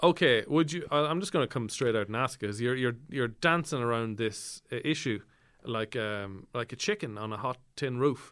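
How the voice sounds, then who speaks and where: A man with an Irish accent speaks at medium pitch with ordinary pitch variation. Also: moderate pace, very clean recording, silent background. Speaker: podcast host. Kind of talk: comedic interview.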